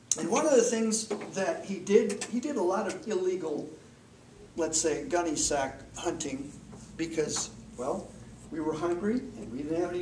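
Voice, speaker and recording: Over noticeable background noise, a man with an Upper Midwest accent speaks at a moderate pace in a high voice with very wide pitch swings. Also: long, frequent pauses. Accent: Upper Midwest American. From Minnesota. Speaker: Toastmasters club speaker. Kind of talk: humorous personal storytelling speech.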